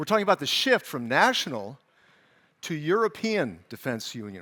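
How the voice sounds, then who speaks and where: A man with a Californian accent speaks at a moderate pace in an animated, bright, sharp tone, his high pitch making very wide swings on a very clean recording with a silent background. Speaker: conference moderator, journalist. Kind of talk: event stage moderation. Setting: stage with live audience, streamed. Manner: animated, conversational.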